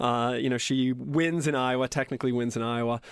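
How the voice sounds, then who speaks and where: On a very clean recording with a silent background, a man speaks in an unremarkable speaking voice at medium pitch and a moderate pace. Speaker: political analyst. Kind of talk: radio interview.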